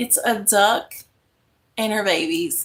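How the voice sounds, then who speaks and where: A woman speaks in a raised, projected voice with a bright, sharp tone. Her intonation is lively, yet her pace is very slow. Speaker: craft YouTuber. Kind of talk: casual live-stream chat. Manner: speaking louder than usual.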